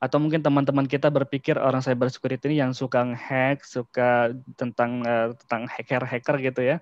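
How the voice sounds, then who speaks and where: A man talks at a fairly quick pace with hardly any pauses. His intonation is monotone and flat, and his loudness stays very even. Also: medium pitch for a man. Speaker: cyber security practitioner, guest speaker. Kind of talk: online lecture / knowledge sharing. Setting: video call. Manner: casual, with filler words.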